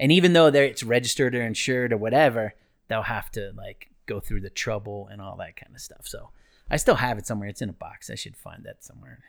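In an American accent, the speaker talks at a very fast pace with ordinary pitch variation and big swings in loudness, on a very clean recording with a silent background. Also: man, medium pitch for a man. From US Northeast (Ohio, New Jersey). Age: 50s. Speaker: flight attendant and running store owner. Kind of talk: casual chat, storytelling.

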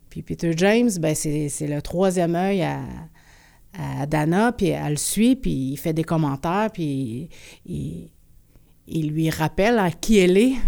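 With a Quebec accent, a woman with a dark, mellow tone and a fairly low pitch speaks at a very slow pace with lively intonation on a very clean recording with a silent background. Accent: Québécois French. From Quebec, Abitibi-Témiscamingue (Rouyn-Noranda). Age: 40s. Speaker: performance artist and musician. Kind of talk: interview.

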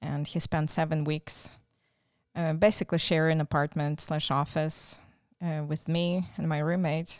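A woman with a Ukrainian accent speaks with fairly even intonation. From Ukraine, raised partly in Czechoslovakia. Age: 40s. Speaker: missionary volunteer. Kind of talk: interview. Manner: halting.

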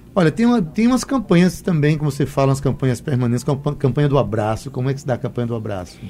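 This man talks at a very fast pace with hardly any pauses, his fairly high, somewhat breathy voice carrying a dark, mellow tone and lively intonation. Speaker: radio host. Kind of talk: radio interview. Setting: studio.

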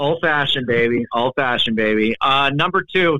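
A man speaks in an ordinary speaking voice at a fairly quick pace with ordinary pitch variation. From Canada. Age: 30s. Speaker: video editor, content creator. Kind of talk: casual chat.

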